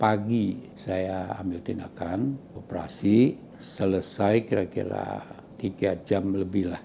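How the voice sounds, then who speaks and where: A man's fairly low voice with ordinary pitch variation, against noticeable background noise. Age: 80s+. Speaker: hospital patient. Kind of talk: patient testimony. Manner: halting, with self-corrections.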